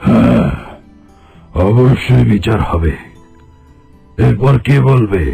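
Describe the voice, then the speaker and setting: A man does a cartoonish character voice at a fairly slow pace, his fairly low pitch swinging very widely. Faint music plays in the background. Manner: authoritative, commanding.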